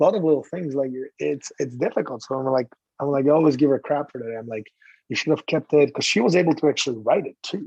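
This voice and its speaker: Speaking with a Slovak accent, a man talks at a very fast pace in a fairly high pitch. His pitch varies in an ordinary way, and the sound is dry and close with no echo. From Slovakia. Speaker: former hockey goalie. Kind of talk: casual chat.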